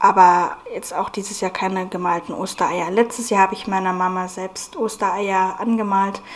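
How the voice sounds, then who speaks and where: A woman speaks at a fairly slow pace with medium pitch and fairly even intonation over noticeable background noise. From Bavaria, Germany (Munich from age seven). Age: 20s. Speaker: podcast host. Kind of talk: casual podcast monologue. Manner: hesitant, many fillers.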